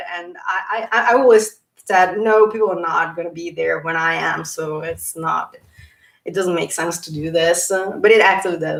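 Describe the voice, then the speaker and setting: A woman with an Italian accent speaks at a moderate pace in a fairly low pitch, her intonation fairly even. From Italy. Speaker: YouTuber talking about personality types. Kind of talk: livestream talk. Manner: halting, with fillers and repeats.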